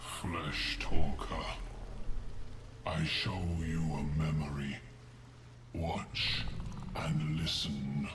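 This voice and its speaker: Using a put-on character voice, a man speaks very slowly. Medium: game stream. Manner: slow, terse, solemn.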